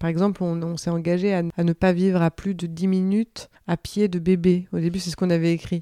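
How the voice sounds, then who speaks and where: In a dry, close sound with no echo, a woman speaks fairly quickly with hardly any pauses, her fairly low voice dark and mellow in tone and monotone, with flat intonation. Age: 30s. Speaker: cheesemonger. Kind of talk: interview testimony.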